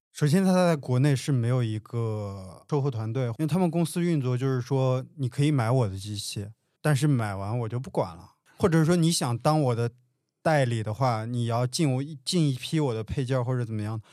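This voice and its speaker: This man's voice has a dark, mellow tone, a medium pitch and ordinary pitch variation, delivered at a moderate pace in a very clean recording with a silent background. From rural Handan, Hebei. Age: 30s. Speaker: coffee shop owner. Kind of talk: casual chat.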